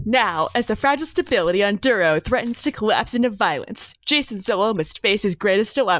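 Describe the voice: Someone reads a text aloud. It is plain reading aloud.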